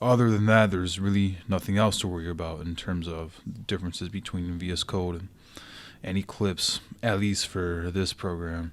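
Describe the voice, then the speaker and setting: A man with a very deep, low pitch and an American accent, fairly even intonation and a moderate pace, in a very clean recording with a silent background. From California. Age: 20s. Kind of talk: programming tutorial.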